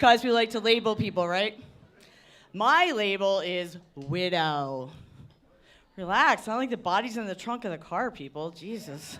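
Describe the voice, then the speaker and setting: A woman's medium-pitched voice at a fairly slow pace, with lively intonation and big swings in loudness. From Philadelphia, US. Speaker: comedian. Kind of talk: stand-up. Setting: stage with audience.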